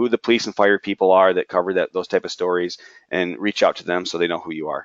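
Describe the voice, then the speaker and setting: A man's fairly low voice at a very fast pace, with fairly even intonation. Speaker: union leadership trainer. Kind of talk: webinar lecture. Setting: webinar.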